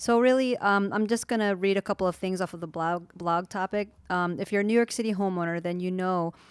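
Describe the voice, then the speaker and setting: A woman with an unremarkable speaking voice talks at a medium pitch with fairly even intonation, the sound dry and close with no echo. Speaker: real estate agent, co-host. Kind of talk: reading aloud from a blog in a podcast chat.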